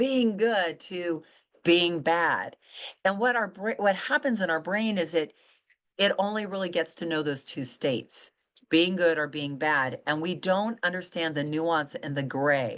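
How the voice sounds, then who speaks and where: An unremarkable speaking voice with lively intonation moves at a fairly slow pace over a quiet background. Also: woman. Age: 60s. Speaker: author and weight-loss coach. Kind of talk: interview conversation.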